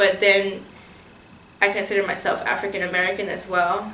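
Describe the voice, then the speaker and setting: A woman at a medium pitch speaks with audible room echo around her voice. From St. Croix, US Virgin Islands. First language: Spanish. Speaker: interviewee. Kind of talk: interview testimony. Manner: hesitant, with fillers.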